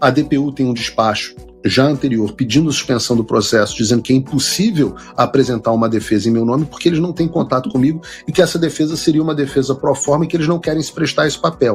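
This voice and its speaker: A man's fairly high voice at a very fast pace, with ordinary pitch variation and music in the background. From Brazil, Rio de Janeiro. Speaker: political commentator in exile. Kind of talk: interview.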